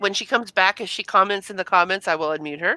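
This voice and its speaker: A woman speaks loudly at a medium pitch with ordinary pitch variation, her tone bright and sharp, in a dry, close sound with no echo. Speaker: streamer. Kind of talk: casual chat. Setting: live stream from home computer room.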